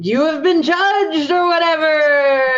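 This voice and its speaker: The put-on character voice sits at a high pitch and moves at a fairly slow pace. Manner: ghostly, pronouncing judgment.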